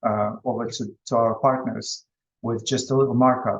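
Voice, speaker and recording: This man speaks at a moderate pace. His intonation is monotone and flat. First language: Russian. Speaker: business presenter. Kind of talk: online presentation. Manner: halting.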